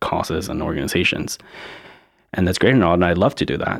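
A man with an American accent speaks at a very deep, low pitch with fairly even intonation. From Charleston, South Carolina (born Ciudad Juarez, Mexico). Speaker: immigrant rights activist. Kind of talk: interview. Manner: casual, many fillers.

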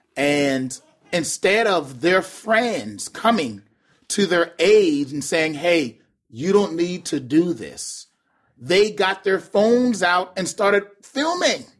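A high-pitched man's voice with lively intonation at a very slow pace. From Charleston, South Carolina. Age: 30s. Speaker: urban youth pastor. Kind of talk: casual chat.

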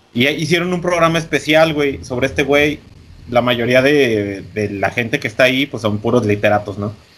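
This is a normal speaking voice at a moderate pace. Its intonation is lively. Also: man, medium pitch for a man. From Mexico. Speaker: podcast co-host. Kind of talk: casual chat.

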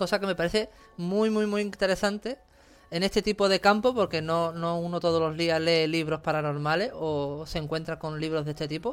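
Ordinary pitch variation marks this moderately paced speech. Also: man, high pitch for a man. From Cádiz, Andalusia, Spain. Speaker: podcast host and writer. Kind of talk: casual interview.

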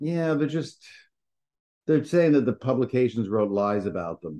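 A man's dark, mellow voice moves at a fairly quick pace with lively intonation. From New York. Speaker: podcast co-host. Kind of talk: casual chat. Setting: remote call. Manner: upbeat.

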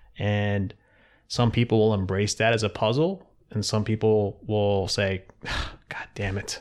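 A man with an unremarkable speaking voice talks at a fairly slow pace, fairly low in pitch, with fairly even intonation. The recording is very clean, with a silent background. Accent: American. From US Mid-Atlantic (Philadelphia area). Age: 40s. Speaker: float center owner, entrepreneur. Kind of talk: casual interview conversation. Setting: in his own office.

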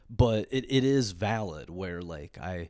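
A man at a fairly slow pace with ordinary pitch variation, on a very clean recording with a silent background. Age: 30s. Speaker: podcast host. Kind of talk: solo rant, casual comedic monologue. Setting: solo podcast recording. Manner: rambling, filler-heavy, stumbling repeats.

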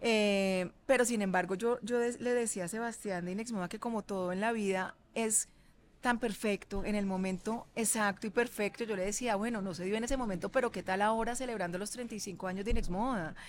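In a very clean recording with a silent background, a woman with a fairly high pitch talks at a moderate pace with fairly even intonation. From Colombia, Cali. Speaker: fashion designer. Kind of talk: interview.

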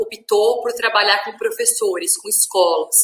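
A woman with an unremarkable speaking voice, a moderate pace, and fairly even intonation. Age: 30s. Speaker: journalist and media educator. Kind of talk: interview.

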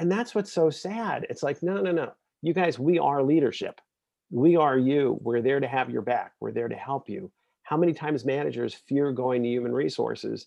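At a moderate pace, a man talks in an ordinary speaking voice, fairly high in pitch, with lively intonation. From Brooklyn, New York. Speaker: HR executive and author. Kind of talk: interview.

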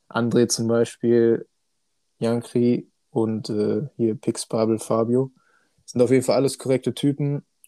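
Dry and close with no echo, a man's medium-pitched voice has a dark, mellow tone and monotone, flat intonation. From Hannover, Germany (partly raised in China). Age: 20s. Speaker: sim racing driver. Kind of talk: casual chat.

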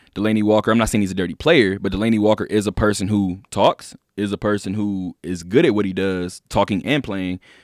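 An ordinary speaking voice from a man, fairly low in pitch and fairly quick in pace, with fairly even intonation, a dry, close sound with no echo and a very clean recording over a silent background. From Inglewood, California, US. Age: 20s. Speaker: sports radio host. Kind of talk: casual sports talk.

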